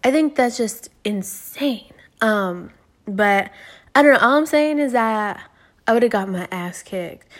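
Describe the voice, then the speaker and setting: In a very clean recording with a silent background, a woman with an American accent and an ordinary speaking voice talks at a fairly slow pace, using lively intonation at a fairly high pitch. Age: 20s. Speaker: podcast host. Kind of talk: casual solo monologue. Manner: rambling with many fillers.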